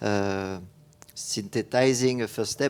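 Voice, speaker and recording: A man speaks with a French accent at a fairly low pitch, his intonation fairly even. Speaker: architect. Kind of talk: panel discussion. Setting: stage with audience. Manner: halting.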